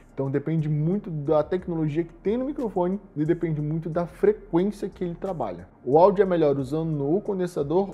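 Music is playing behind the voice. The man's delivery is fairly quick. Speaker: shop presenter reviewing products. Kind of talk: product review tutorial. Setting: studio.

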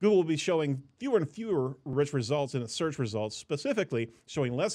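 Behind the man's speech, the background is quiet. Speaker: podcast host. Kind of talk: news commentary. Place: studio. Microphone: studio mic.

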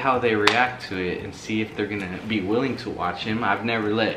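A man talks at a fairly quick pace. There is music in the background and audible room echo. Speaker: vlogger. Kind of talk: casual vlog chat. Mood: playful, upbeat. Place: home room.

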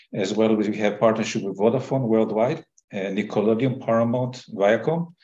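A man's fairly low, dark and mellow voice moves at a moderate pace with ordinary pitch variation, and audible room echo surrounds it.

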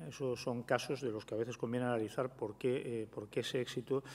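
The delivery is very fast, with monotone, flat intonation. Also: man. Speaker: prehistory professor; panelist, professor. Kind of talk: panel presentation. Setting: round table with audience. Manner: halting, many repetitions. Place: hall. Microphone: podium.

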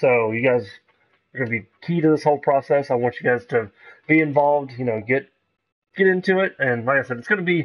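A man talking at a fairly quick pace over a quiet background. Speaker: game streamer. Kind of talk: casual live-stream chat. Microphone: headset.

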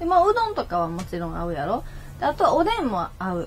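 Over light background noise, a woman with an Osaka accent speaks with very wide pitch swings. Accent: Kansai (Osaka) Japanese. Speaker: internet radio host. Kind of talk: casual chat, live stream. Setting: live stream with chat comments. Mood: relaxed, cheerful. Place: home room. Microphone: webcam.

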